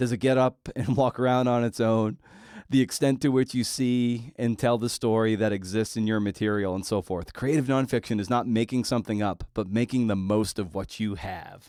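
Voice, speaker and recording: This is a man with an ordinary speaking voice, medium in pitch, with ordinary pitch variation. He goes at a moderate pace, and the sound is dry and close with no echo. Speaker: podcast host. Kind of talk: interview question. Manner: conversational, casual.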